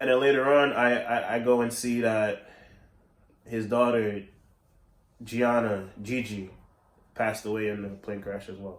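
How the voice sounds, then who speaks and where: At a fairly slow pace with long, frequent pauses, a man speaks in a medium pitch with fairly even intonation, big swings in loudness and audible room echo. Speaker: video podcast host. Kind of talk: casual monologue. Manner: halting, frequent repetitions.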